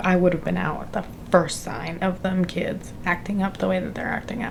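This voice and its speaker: Noticeable background noise runs beneath speech that has ordinary pitch variation and a moderate pace. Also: woman. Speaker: book vlogger. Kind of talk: casual vlog talk. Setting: home library at night. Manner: quiet.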